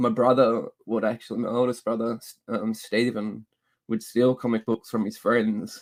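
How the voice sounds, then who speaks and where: The speaker is a man with an Australian accent. The sound is dry and close, with no echo. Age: 30s. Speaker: comic book YouTuber. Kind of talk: casual chat. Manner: halting.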